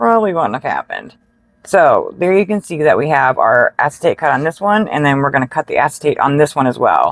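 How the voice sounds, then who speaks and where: Her voice is very deep and low for a woman, with lively intonation at a fairly quick pace. The sound is dry and close, with no echo. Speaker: card making crafter. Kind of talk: tutorial. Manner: casual, with fillers.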